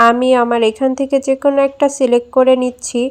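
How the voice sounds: A woman's fairly high voice with a slightly mellow tone, little pitch movement and a fairly quick pace, in a dry, close sound with no echo.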